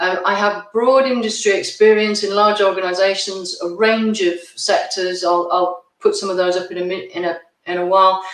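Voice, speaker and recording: Hardly any pauses break up this moderate-paced speech. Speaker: executive coach and author. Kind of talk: online masterclass presentation. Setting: virtual conference session. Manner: hesitant with fillers.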